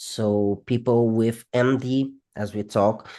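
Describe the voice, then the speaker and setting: A man's medium-pitched voice, dark and mellow in tone, monotone and flat, with a non-native accent against a quiet background. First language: not English. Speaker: psychology researcher. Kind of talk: interview. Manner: halting.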